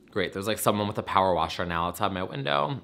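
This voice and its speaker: Animated and fairly quick, a man speaks in a bright, sharp tone with a fairly low pitch and ordinary pitch variation. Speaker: YouTuber. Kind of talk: casual chat. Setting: home apartment.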